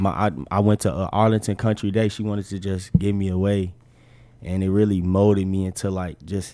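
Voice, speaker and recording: A man's very deep, low voice with a dark, mellow tone and monotone, flat intonation, at a moderate pace on a very clean recording with a silent background. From Chicago. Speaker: college basketball player. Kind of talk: casual interview.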